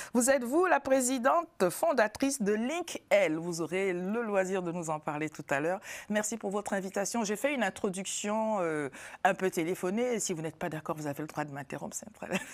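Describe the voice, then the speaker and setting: On a very clean recording with a silent background, a woman with a medium pitch uses a normal speaking voice, lively intonation and a fairly quick pace. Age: 50s. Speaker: talk show host. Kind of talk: TV panel discussion. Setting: TV studio.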